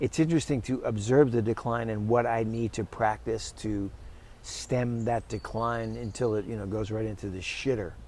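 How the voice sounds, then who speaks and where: A normal speaking voice from a man at medium pitch, moderate pace and fairly even intonation. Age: 60s. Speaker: orchestral trumpet player and teacher. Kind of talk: casual interview.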